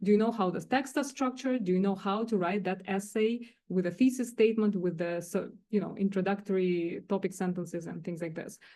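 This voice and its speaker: With a non-native accent, a woman speaks at a medium pitch in a dark, mellow tone against a quiet background. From Russia or Kazakhstan. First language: not English. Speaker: director of teaching and learning center. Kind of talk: faculty workshop presentation. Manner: halting, many fillers.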